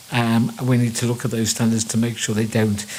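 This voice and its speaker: Over noticeable background noise, a man with a Liverpool accent speaks at a fairly quick pace at medium pitch in a monotone, flat intonation. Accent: Liverpool (Scouse). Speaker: water engineer, panelist. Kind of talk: panel discussion remarks.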